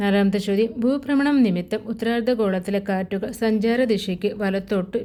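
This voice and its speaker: With a dark, mellow tone, a woman talks in fairly even intonation. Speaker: quiz video presenter. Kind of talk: reading quiz questions aloud.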